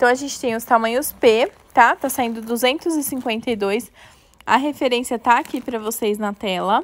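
A woman's high-pitched, animated voice with ordinary pitch variation at a fairly slow pace. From Brazil. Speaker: children's clothing store presenter; presenter. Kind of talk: live sales stream. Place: shop. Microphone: earbuds.

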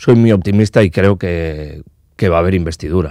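Speaking with a Basque accent at a moderate pace, the voice has a dark, mellow tone and ordinary pitch variation, recorded dry with no echo over a quiet background. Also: man. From Basque Country, Spain. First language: Basque (speaking Spanish). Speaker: politician. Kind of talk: interview. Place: studio. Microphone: studio mic.

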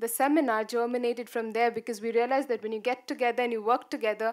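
Against a quiet background, a woman speaks at a high pitch with flat, monotone intonation. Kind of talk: conference talk. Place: hall.

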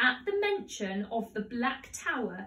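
The clip features an unforced reading voice.

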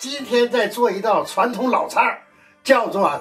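Very slow speech over faint background music. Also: man. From northern China. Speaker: chef. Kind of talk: cooking demonstration. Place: kitchen.

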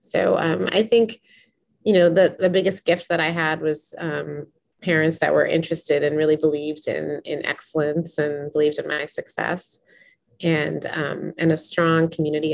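The voice carries vocal fry and monotone, flat intonation. The pace is moderate. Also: woman. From US, Boston. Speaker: professor. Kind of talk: interview. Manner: hesitant, filler words. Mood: warm, smiling. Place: home room. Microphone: webcam.

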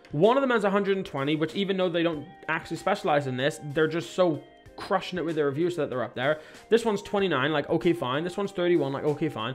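Faint music plays in the background. The speaker moves along at a fairly quick pace. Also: man, high pitch for a man, ordinary pitch variation. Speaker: marketing coach. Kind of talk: presentation over screen share. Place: home room.

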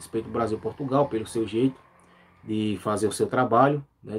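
Pitch varies in an ordinary way as a man speaks at a moderate pace. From Brazil, Pernambuco. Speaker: youtuber, news commentary channel host. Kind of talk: live stream commentary. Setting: live stream. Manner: frequent filler words and repetitions. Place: home room. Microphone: phone near.

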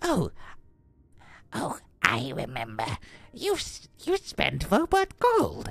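Using a put-on character voice, the speaker goes at a very slow pace, broken by long, frequent pauses. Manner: creature voice.

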